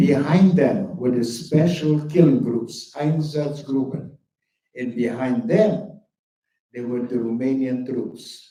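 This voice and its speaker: Fairly high-pitched, somewhat breathy man, very slow pace, lively intonation, audible room echo. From Bukovina, Romania (Chernivtsi). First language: German. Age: 80s+. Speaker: Holocaust survivor speaker. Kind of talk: testimony.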